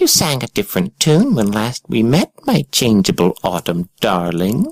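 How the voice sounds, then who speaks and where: A put-on character voice from a man, medium in pitch and moderate in pace. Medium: read story. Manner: low and dangerous.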